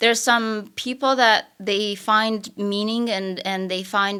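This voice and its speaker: A woman with a Romanian accent speaks at a medium pitch and a fairly slow pace. Her tone is bright and sharp, and her intonation is fairly even. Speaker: real estate broker and coach. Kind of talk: podcast interview.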